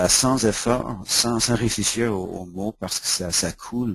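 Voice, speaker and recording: With an English accent, this man speaks at a fairly slow pace and a fairly low pitch. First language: English (speaking French). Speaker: education consultant and author. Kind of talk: webinar presentation. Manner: halting, repeats words.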